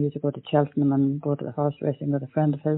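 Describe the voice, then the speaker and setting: A woman speaks with an Irish accent. Her pitch is very deep and low, and her intonation is monotone and flat. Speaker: older person in lockdown, diarist. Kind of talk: audio diary.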